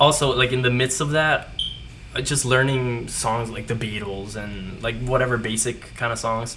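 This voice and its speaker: Amid noticeable background noise and audible room echo, a man with a Spanish accent talks at a moderate pace and medium pitch with monotone, flat intonation. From Puerto Rico and Florida. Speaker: guest musician. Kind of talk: casual chat.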